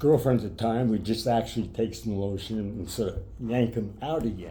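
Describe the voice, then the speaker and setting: Audible room echo surrounds a man's voice. He sounds somewhat breathy, with a dark, mellow tone. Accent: American. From New York (Brooklyn). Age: 70s. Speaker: retired sports broadcaster with Parkinson's. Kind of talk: interview. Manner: halting.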